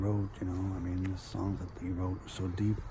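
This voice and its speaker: A very deep, low male voice, somewhat breathy, at a moderate pace with audible room echo. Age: 60s. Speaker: video blogger. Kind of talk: personal storytelling. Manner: halting.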